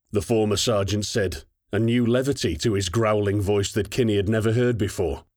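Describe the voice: Over a quiet background, the speaker reads plainly aloud with fairly even intonation.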